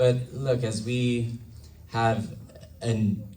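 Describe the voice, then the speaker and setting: A man's voice carries audible room echo. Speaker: congressional candidate. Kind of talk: campaign speech.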